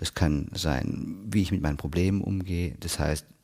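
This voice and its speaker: Here is a man with a very deep, low pitch. His tone is dark and mellow, and his intonation fairly even. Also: very clean recording, silent background. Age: 30s. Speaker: hypnotherapist and podcast host. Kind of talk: solo podcast talk. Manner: casual.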